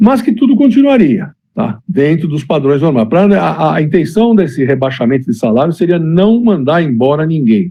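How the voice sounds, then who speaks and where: A man's fairly high voice at a moderate pace, with very wide pitch swings and hardly any pauses. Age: 60s. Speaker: former basketball player and club director. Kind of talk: interview.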